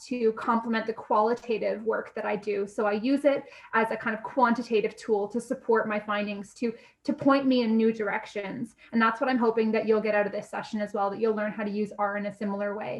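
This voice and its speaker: A plain, everyday voice with a Canadian accent, at a fairly quick pace. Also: woman. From Canada. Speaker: university lecturer. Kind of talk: lecture. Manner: casual, frequent fillers.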